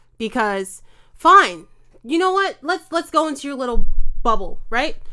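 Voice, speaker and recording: A woman's raised, projected voice, high and bright with a sharp edge, animated, with an American accent, very wide pitch swings, big swings in loudness and a moderate pace. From New York. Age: 20s. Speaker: chef. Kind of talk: heated debate.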